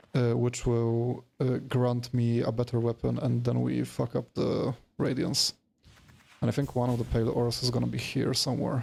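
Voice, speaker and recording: A man's dark, mellow, somewhat breathy voice of medium pitch, monotone and flat, at a moderate pace with very even loudness. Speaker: video game streamer. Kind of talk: casual live-stream commentary.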